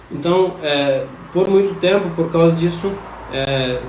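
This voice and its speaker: Amid noticeable background noise and audible room echo, a man with a fairly high voice talks at a fairly slow pace with fairly even intonation. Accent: non-native. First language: not Portuguese (speaking Portuguese). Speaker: scholar of religion giving talk. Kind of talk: live stream lecture. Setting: Instagram live stream. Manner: halting, many fillers.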